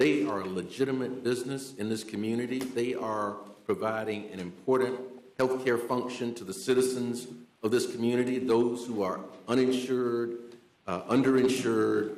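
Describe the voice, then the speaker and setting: Over noticeable background noise and audible room echo, a man speaks at a medium pitch with fairly even intonation. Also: moderate pace. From US South. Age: 60s. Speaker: city commissioner. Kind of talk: public meeting debate.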